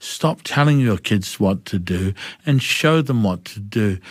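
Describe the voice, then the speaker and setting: Speaking at a fairly slow pace with a New Zealand accent and lively intonation, a man is heard on a very clean recording with a silent background. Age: 60s. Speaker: mental health advocate. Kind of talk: interview. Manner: animated.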